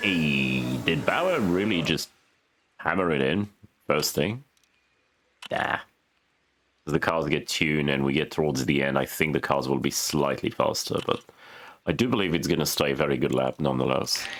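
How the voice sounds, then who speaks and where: A man with a very deep, low pitch and vocal fry speaks with long, frequent pauses. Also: ordinary pitch variation, moderate pace, very even loudness. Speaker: gaming video creator. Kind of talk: gameplay commentary. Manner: quieter and lower than usual.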